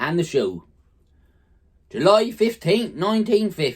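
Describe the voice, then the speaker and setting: The speaker has a Norfolk accent. The pace is very slow. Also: man. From Norfolk, England. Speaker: farmer. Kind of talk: dialect letter reading.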